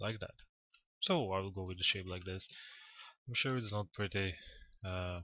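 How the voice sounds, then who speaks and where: With a non-native accent, a man speaks at a moderate pace and a fairly low pitch, his intonation fairly even and his pauses long and frequent. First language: not English. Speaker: 3D modelling tutor. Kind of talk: tutorial. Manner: halting, with many fillers.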